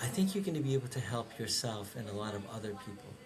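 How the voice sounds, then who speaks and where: With a Persian accent, a man speaks at a medium pitch, with audible room echo and noticeable background noise around him. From Iran, then Fargo, North Dakota from age ten. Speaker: director of operations, interviewee. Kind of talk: personal testimony. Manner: reflective, with frequent hesitations.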